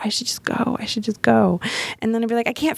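A woman speaks with an American accent. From US South, Miami, Florida. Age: 40s. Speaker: death doula and storytelling show producer. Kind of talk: casual chat. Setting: studio.

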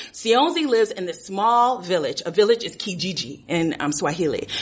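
With an American accent, a woman speaks with lively intonation amid noticeable background noise. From Los Angeles, US. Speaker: storyteller. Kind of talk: live storytelling.

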